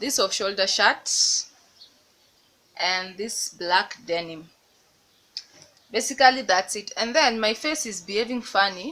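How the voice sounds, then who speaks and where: A woman with a Kenyan accent speaks fairly slowly at medium pitch, her tone bright and sharp. Her intonation is lively, her loudness swings widely, and she leaves long, frequent pauses. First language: Swahili. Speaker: lifestyle vlogger. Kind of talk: casual vlog talk.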